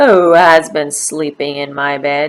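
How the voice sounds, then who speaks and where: Putting on a character voice, a woman growls in a very deep, low, raspy and gruff tone, with fairly even intonation at a fairly slow pace. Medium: read story. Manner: gruff, growling.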